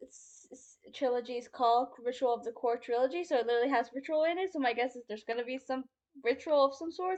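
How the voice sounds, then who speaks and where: Her voice is high in pitch with ordinary pitch variation. The woman moves along at a fairly quick pace. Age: 20s. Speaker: booktuber and indie author. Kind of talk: casual vlog. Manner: fast; animated.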